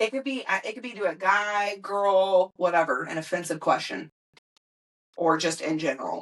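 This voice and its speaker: A woman with an American accent speaks with big swings in loudness. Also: medium pitch for a woman, ordinary pitch variation, moderate pace. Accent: Southern US accent when angry. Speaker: podcast host. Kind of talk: casual chat.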